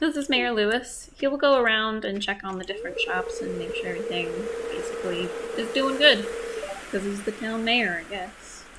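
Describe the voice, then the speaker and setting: A soft-spoken woman talks. There is audible room echo and noticeable background noise. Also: fairly quick pace. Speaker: gaming video creator. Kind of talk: let's play commentary. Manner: hesitant, many fillers.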